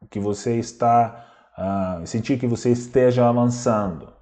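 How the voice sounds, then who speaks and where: A man speaks at a fairly slow pace in a dark, mellow tone with ordinary pitch variation. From Belarus. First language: Russian (speaking Portuguese). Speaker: language teacher. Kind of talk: lecture.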